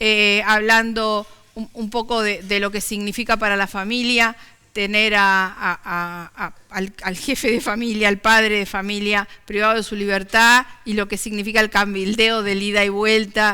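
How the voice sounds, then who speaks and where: A woman with a Rioplatense accent speaks at medium pitch and a fairly slow pace in a bright, sharp tone with monotone, flat intonation. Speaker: TV talk show host. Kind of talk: interview.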